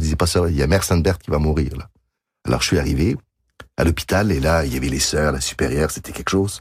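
A man's very deep, low voice with vocal fry, a very fast pace and ordinary pitch variation. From Quebec. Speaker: concert pianist and composer. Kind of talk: radio interview. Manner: halting.

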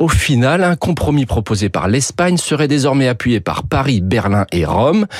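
With very wide pitch swings, a man talks at a fairly slow pace against noticeable background noise. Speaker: radio economics commentator. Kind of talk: news reading, radio editorial. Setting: radio studio. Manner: formal, steady, informative.

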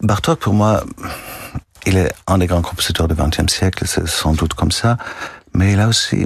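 Noticeable background noise sits under a man's voice. He speaks at a moderate pace with a very deep, low pitch. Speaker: music festival director. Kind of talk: radio interview. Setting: radio studio. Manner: halting, repeats words.

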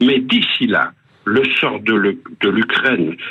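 A man talks at a medium pitch with vocal fry. His pitch swings very widely. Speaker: radio columnist on world affairs. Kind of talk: scripted news commentary. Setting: phone line, stuck in a lift. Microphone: telephone-quality voice.

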